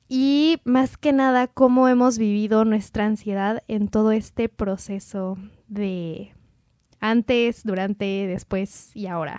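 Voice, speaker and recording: A woman's dark, mellow tone at a fairly high pitch, with a Mexican accent, ordinary pitch variation, a very slow pace and a dry, close sound with no echo. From Mexico. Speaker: podcast host. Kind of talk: casual chat.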